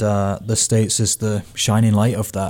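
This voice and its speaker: The voice has a dark, mellow tone and moves at a moderate pace with monotone, flat intonation. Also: man. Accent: British. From Britain. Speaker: soccer coach. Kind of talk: casual sports chat.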